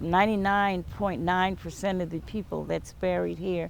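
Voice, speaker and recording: With an American accent, a woman uses a normal speaking voice of medium pitch, fairly even intonation and a moderate pace. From US South, James Island, South Carolina. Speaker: interviewee, local community member. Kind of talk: oral history interview.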